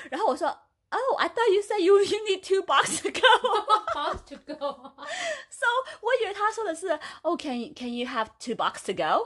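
At a moderate pace, a woman talks in an extremely high pitch with a bright, sharp tone and very wide pitch swings. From China. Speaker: podcast co-host. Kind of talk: casual chat.

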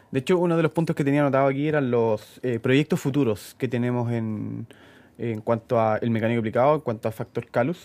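On a very clean recording with a silent background, a man of medium pitch talks at a fairly quick pace with ordinary pitch variation. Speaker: mechanic, podcast co-host. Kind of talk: casual chat.

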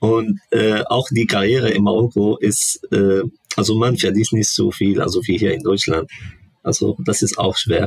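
At a fairly slow pace, a man speaks with a fairly low pitch and ordinary pitch variation. His loudness stays very even, and the sound is dry and close with no echo. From Morocco. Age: 20s. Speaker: international student. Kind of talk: casual interview. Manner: halting, searching for words.

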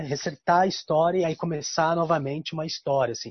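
A man with a high pitch speaks at a moderate pace, his intonation fairly even. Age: 40s. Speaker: guest talking about his zodiac sign. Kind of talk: casual chat. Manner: halting.

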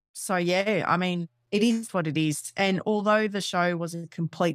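In a very clean recording with a silent background, a woman with an Australian accent speaks at a fairly slow pace. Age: 30s. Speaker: personal trainer and podcaster. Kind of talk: casual interview chat. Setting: home office recording.

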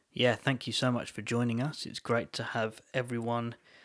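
The man talks at a moderate pace and medium pitch, captured in a very clean recording with a silent background. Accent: southern English. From England, London area. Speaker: podcast co-host. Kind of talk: casual chat.

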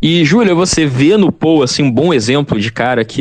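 A man speaks in a plain, everyday voice with lively intonation. His pace is moderate. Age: young. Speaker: podcast host. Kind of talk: casual chat.

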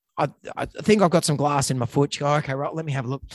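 A man with an Australian accent talks at a very fast pace in a dry, close sound with no echo. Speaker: veterinarian, podcast co-host. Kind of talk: casual chat; reading aloud.

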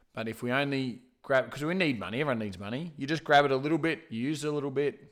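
Loud and animated, a man speaks at a medium pitch. His pitch varies in an ordinary way. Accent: Australian. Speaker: podcast co-host. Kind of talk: casual chat.

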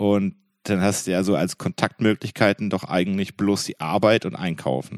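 At a moderate pace, a man speaks in a fairly low pitch with vocal fry and fairly even intonation, with a dry, close sound with no echo on a very clean recording with a silent background. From Franconia. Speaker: podcast host. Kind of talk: casual chat.

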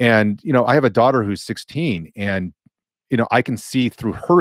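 A man with an American accent and an unremarkable speaking voice talks at a moderate pace with a fairly low pitch and ordinary pitch variation, in a dry, close sound with no echo. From Los Angeles, California. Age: 40s. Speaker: DJ, writer and sociology professor. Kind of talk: casual interview.

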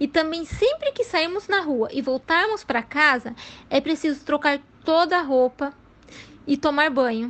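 A woman speaks at a high pitch with lively intonation and a fairly slow pace. Her loudness stays very even throughout. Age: 30s. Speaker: biologist. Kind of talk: educational Q&A for children.

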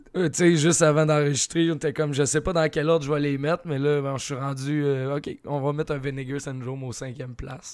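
A man speaks with a Quebec accent. His intonation is flat and monotone. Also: fairly high pitch for a man. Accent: Québécois French. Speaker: horror film podcast co-host. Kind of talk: casual chat.

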